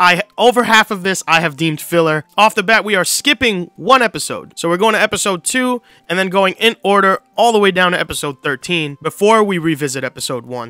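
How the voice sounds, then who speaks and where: A man with a raised, projected voice and a bright, sharp tone speaks at a fairly quick pace with lively intonation and hardly any pauses, in a dry sound with no echo over a quiet background. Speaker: video host. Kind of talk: casual commentary on a watch-order guide. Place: home room. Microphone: studio mic.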